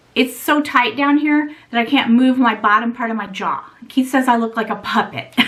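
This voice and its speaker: Over noticeable background noise, a woman speaks at a moderate pace in a high pitch with ordinary pitch variation. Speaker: beauty and luxury vlogger. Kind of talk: casual vlog talk to camera.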